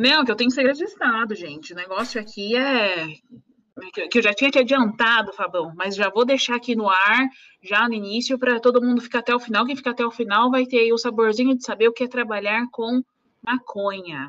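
A woman with a plain, everyday voice and fairly high pitch speaks at a fairly quick pace with ordinary pitch variation. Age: 20s. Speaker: lawyer. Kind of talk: casual chat. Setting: live stream.

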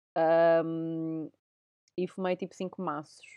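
This woman has a European Portuguese accent and a fairly low pitch. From Portugal. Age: 30s. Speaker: podcast host. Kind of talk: casual chat.

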